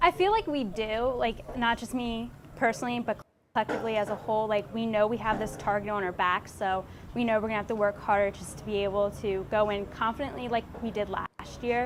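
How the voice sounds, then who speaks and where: A woman with an unremarkable speaking voice talks at a fairly quick pace. Her pitch is fairly high, with ordinary pitch variation. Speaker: college cross country runner. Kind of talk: interview answers.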